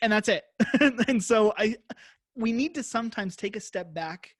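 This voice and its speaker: A man at a moderate pace on a very clean, silent-background recording, dry and close with no echo. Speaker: web designer and podcast host. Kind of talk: interview conversation. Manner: stumbles over words.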